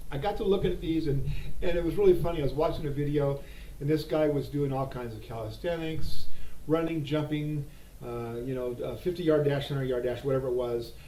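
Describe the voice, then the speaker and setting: Male voice at a fairly high pitch and fairly quick pace, ordinary pitch variation, audible room echo and noticeable background noise. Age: 60s. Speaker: gun holster reviewer. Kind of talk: casual product review. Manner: halting, with fillers.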